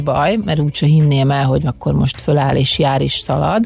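A woman at a fairly slow pace, amid noticeable background noise. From Hungary, Szolnok. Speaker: former water polo player. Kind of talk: interview. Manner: halting.

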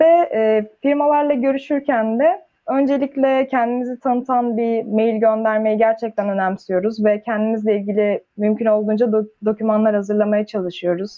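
A normal speaking voice at a moderate pace, with very even loudness, ordinary pitch variation and hardly any pauses. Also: woman, fairly high pitch for a woman. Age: 20s. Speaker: engineering student. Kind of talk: casual chat.

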